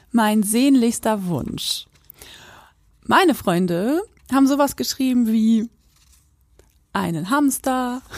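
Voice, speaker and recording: Pitched high, a woman speaks at a very slow pace with lively intonation and long, frequent pauses. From Quakenbrück, Lower Saxony, northern Germany. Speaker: podcast co-host. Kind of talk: casual chat. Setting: remote call.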